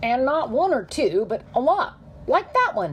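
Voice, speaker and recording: Using a high-pitched put-on character voice, a woman talks at a moderate pace over clear background noise. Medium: read story. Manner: polite, slightly doddering.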